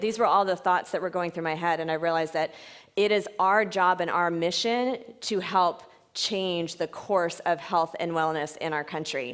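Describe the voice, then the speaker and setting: A woman talks at medium pitch. The background is quiet. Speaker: fitness franchise owner and mentor. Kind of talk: conference presentation. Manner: fast.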